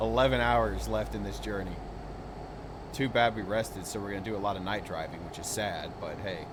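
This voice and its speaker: With a very deep, low pitch that swings very widely, a man talks at a fairly quick pace amid noticeable background noise and audible room echo. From United States. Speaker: gaming streamer. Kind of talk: casual chat. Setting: live stream.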